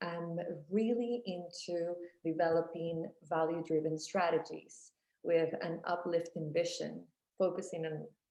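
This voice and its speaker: Dark and mellow with vocal fry, a woman's voice sits at a fairly low pitch and moves at a fairly slow pace. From born in Miami, raised in Costa Rica. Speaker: motivational speaker and life and business coach. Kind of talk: interview answer.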